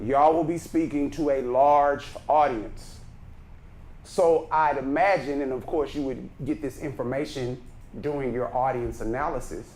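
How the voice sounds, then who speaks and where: With a Texan accent, a man speaks at a fairly high pitch with fairly even intonation, and the room echo is audible. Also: moderate pace. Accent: Texas Southern. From Texas, Brenham. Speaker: speaking coach. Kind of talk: workshop lecture. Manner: naturally loud.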